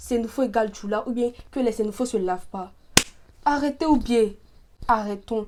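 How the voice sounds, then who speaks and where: Dark, mellow tone in a strong Ivorian accent, moderate pace with long, frequent pauses and ordinary pitch variation. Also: woman, fairly high pitch for a woman. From Côte d'Ivoire. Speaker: YouTuber. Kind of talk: vlog monologue.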